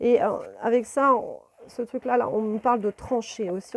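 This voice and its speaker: A fairly slow pace, fairly even intonation and a dry, close sound with no echo. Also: woman. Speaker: tarot card reader and spiritual guide. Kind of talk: tarot reading video monologue. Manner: hesitant, many fillers.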